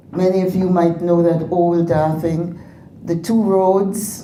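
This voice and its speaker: In a room with audible echo, a woman talks at a very slow pace in a fairly low pitch. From Grenada. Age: 80s+. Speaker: former politician and educator. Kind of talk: speech to an audience.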